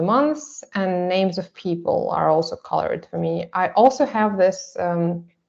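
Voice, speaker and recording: With a Russian accent, a woman speaks at a fairly slow pace in a medium pitch, her intonation lively and her tone dark and mellow. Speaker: artist presenting a photo project. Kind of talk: seminar presentation. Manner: halting, many fillers.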